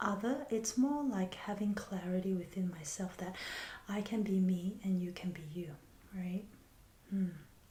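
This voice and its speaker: In a dark, mellow, gentle tone, a woman speaks at medium pitch, somewhat breathy, at a fairly slow pace with long, frequent pauses. Room echo is audible. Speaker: healer and spiritual teacher. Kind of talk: reflective monologue. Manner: soft, slow and gentle.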